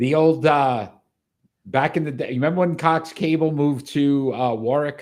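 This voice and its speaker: This man has a Rhode Island accent and a fairly high pitch. He talks at a moderate pace with ordinary pitch variation. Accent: Rhode Island accent, noticeable. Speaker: sports podcast host. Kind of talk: casual chat. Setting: live show.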